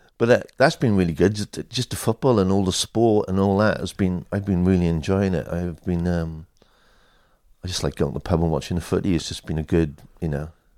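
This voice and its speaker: In a South Wales accent, a man speaks at a fairly quick pace with a very deep, low pitch, ordinary pitch variation and a dark, mellow tone. The recording is very clean, with a silent background. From Wales, Swansea. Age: 50s. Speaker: skateboard photographer. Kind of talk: interview. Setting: at home.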